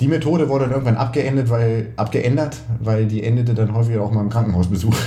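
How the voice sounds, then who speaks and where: Audible room echo fills the space as a man talks at a fairly quick pace and medium pitch with ordinary pitch variation. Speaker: triathlon coach and podcast co-host. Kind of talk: casual chat.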